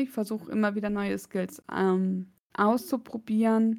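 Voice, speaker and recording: Over a very clean recording with a silent background, a woman uses an ordinary speaking voice at fairly high pitch. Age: 30s. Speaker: podcast co-host. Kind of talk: casual chat.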